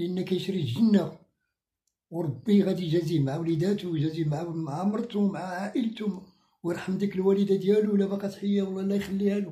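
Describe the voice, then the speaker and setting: Speaking at a fairly quick clip, a man uses a high-pitched voice with a dark, mellow tone and fairly even intonation. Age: 60s. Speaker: sick man seeking help. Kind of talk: interview. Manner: halting.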